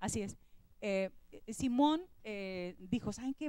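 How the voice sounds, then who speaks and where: A woman's voice with lively intonation. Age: 60s. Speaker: former school beauty queen, alumna. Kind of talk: TV talk show conversation. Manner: animated.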